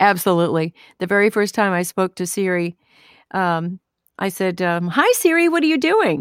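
On a very clean recording with a silent background, a woman speaks at a moderate pace and medium pitch with lively intonation in a plain, everyday voice. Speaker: voice actor. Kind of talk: casual interview.

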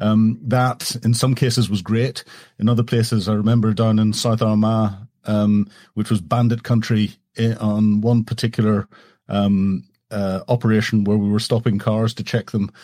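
In a Northern Irish accent, the voice has a dark, mellow tone and monotone, flat intonation at a moderate pace. Loudness stays very even, and the recording is very clean with a silent background. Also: man, fairly low pitch for a man. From Northern Ireland. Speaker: former military officer. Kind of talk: casual interview chat. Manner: hesitant, repeats words.

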